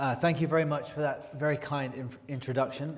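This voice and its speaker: In a British accent, someone talks at a fairly quick pace. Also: man. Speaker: journalist. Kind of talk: moderated interview introduction. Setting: stage with audience.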